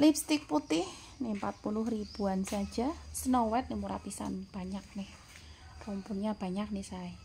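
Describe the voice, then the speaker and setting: A woman talks at a fairly slow pace while light background noise continues. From Central Java, Indonesia. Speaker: plant seller. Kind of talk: sales pitch. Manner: upbeat, persuasive, bargain-hawking. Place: garden. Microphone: phone near.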